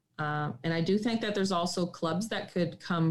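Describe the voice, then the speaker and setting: A woman speaks in a plain, everyday voice with a Canadian accent. Her pitch is fairly low, with ordinary pitch variation. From Northern Ontario, Canada (Sudbury). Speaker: occupational therapist and farm owner. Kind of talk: interview.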